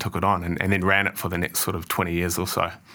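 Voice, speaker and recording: A man's very deep, low voice with a bright, sharp tone and a New Zealand accent. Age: 30s. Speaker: managing director. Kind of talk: interview.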